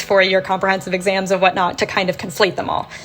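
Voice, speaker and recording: A woman of medium pitch talks at a very fast pace over noticeable background noise. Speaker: translator and PhD student. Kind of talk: casual chat.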